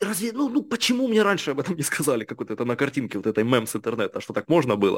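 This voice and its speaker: On a very clean recording with a silent background and a dry, close sound with no echo, a man speaks very fast with very wide pitch swings. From Ukraine, Kharkiv and Kherson region. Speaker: entrepreneur. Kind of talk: interview.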